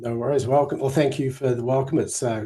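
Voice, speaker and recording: A somewhat breathy man speaks with a New Zealand accent on a very clean recording with a silent background. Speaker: Bible scholar and teacher. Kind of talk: casual chat.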